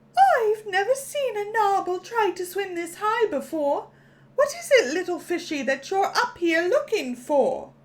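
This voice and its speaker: A woman does a put-on character voice, squeaky and at an extremely high pitch. Her pitch swings very widely as she goes at a moderate pace. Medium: read story. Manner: condescending, teasing.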